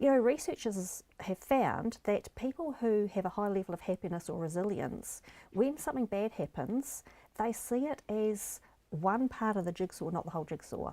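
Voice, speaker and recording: A woman with a New Zealand accent, medium in pitch, dark and mellow in tone, with lively intonation at a moderate pace on a very clean recording with a silent background. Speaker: life coach. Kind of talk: interview.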